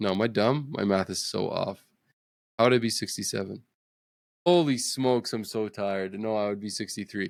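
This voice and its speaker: A man with a fairly low pitch speaks on a very clean recording with a silent background. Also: ordinary pitch variation, fairly quick pace. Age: 30s. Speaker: gaming podcast co-host. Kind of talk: casual chat.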